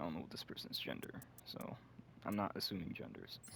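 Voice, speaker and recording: Whispering, a man speaks in a relaxed tone. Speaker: gaming video creator. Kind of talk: casual gameplay commentary. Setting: at home, someone next door. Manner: quiet, hushed; relaxed, chill. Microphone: broken mic, may sound poor.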